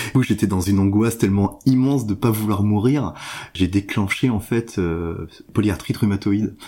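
Fairly low-pitched male speech at a moderate pace, with ordinary pitch variation and very even loudness, in a very clean recording with a silent background. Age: 40s. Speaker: patient sharing mental illness story. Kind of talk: testimony. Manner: halting.

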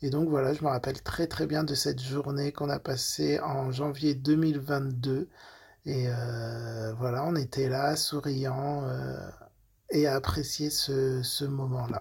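On a very clean recording with a silent background, a man speaks very slowly in a somewhat breathy, fairly high voice with fairly even intonation. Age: 30s. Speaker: nurse. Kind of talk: testimony. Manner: halting.

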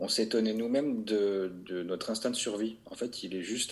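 A man's voice at medium pitch. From southern France, Vaucluse. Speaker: winter motorcycle traveller. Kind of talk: casual chat. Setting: video call. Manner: halting.

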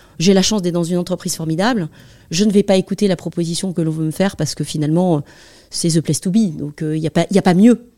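Very fast speech comes from a woman with a fairly low pitch, a dark, mellow tone and ordinary pitch variation, in a very clean, dry, close recording with no echo and a silent background. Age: 50s. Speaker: tech sales manager. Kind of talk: interview.

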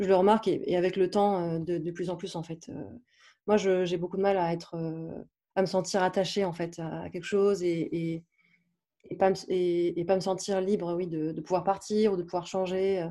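In a very clean recording with a silent background, a dark, mellow voice speaks at a fairly slow pace in a flat monotone, with long, frequent pauses. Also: woman, medium pitch for a woman. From southeastern France. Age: 30s. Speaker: digital marketing entrepreneur and yoga teacher. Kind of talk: casual interview. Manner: hesitant, many fillers.

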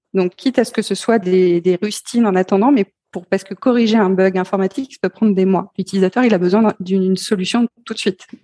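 At a fairly quick pace with hardly any pauses, the voice has a dark, mellow tone in a dry, close sound with no echo. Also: woman, medium pitch for a woman, fairly even intonation. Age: 40s. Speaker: entrepreneur and CEO in digital accessibility. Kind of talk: interview. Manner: hesitant, many fillers.

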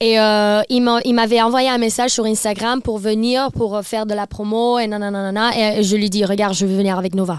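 A woman's fairly high voice at a moderate pace, monotone and flat, very even in loudness with hardly any pauses, on a very clean recording over a silent background. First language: not French (speaking French). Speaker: TikTok influencer and DJ tour manager. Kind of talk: casual chat. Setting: studio, around a table. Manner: halting, mixes in English words.

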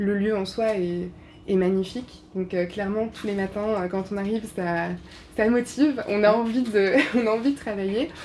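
The voice has a dark, mellow tone, ordinary pitch variation, and a moderate pace. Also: woman, medium pitch for a woman. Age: 30s. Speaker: visual artist. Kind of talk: interview. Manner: halting, many hesitations.

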